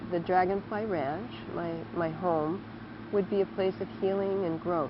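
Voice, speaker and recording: At a fairly slow pace, a woman speaks at a medium pitch with ordinary pitch variation over noticeable background noise. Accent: American. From Southern California. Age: 70s. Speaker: retreat owner. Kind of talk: interview testimony.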